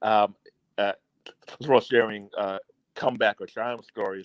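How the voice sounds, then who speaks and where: In a dry, close recording with no echo, a man speaks at a fairly quick pace in a fairly low, flat monotone. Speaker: entrepreneur. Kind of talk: casual livestream discussion.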